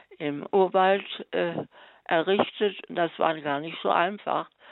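A woman's fairly low voice at a very slow pace, with fairly even intonation. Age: 80s+. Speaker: missionary nun. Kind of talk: testimony. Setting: phone call.

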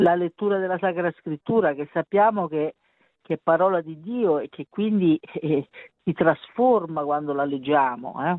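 Speaking with an Italian accent, a woman uses a fairly low pitch and ordinary pitch variation. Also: moderate pace. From Italy. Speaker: mother of a beatified teen. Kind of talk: interview. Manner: halting.

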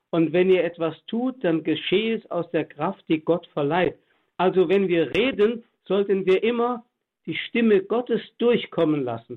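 A man's high voice at a fairly slow pace, with lively intonation. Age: 80s+. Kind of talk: religious radio talk. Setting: remote line to studio.

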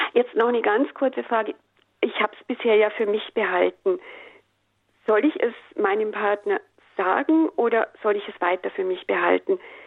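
A woman with a fairly high pitch talks at a moderate pace with lively intonation, big swings in loudness, and long, frequent pauses. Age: 60s. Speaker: radio caller. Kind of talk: call-in question. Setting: phone call.

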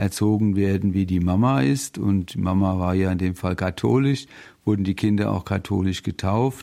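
In a very clean recording with a silent background, a man talks in a fairly low pitch, with a dark, mellow tone and ordinary pitch variation. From Rheinhessen, Germany. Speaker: radio volunteer. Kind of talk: testimony.

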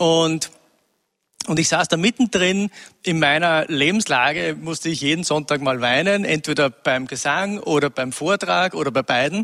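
Dry and close with no echo, a man's fairly high voice has a bright, sharp tone, moving at a moderate pace with ordinary pitch variation. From Upper Austria, rural. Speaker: former music industry manager. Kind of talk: interview.

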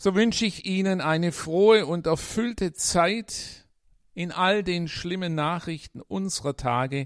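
A man's high-pitched voice with lively intonation at a very slow pace, dry and close with no echo. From Swabia, Germany. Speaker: priest. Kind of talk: radio devotional talk with read-aloud stories.

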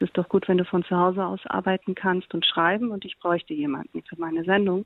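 Fairly quick pace from a woman of medium pitch with fairly even intonation. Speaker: TV comedy writer and blogger. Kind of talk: interview testimony. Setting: remote call.

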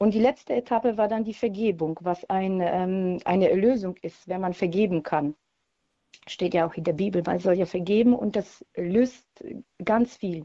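Her voice has a dark, mellow tone and a Polish accent, at a medium pitch and moderate pace, with a dry, close sound with no echo. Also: ordinary pitch variation. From Poland. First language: Polish (speaking German). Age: 40s. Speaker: radio caller. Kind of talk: testimony.

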